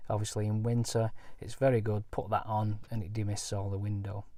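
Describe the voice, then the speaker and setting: A man with a Lancashire accent, medium pitch, dark, mellow tone and moderate pace. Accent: Bolton. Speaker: caravanning vlogger. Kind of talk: product review walkthrough. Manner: halting, many fillers.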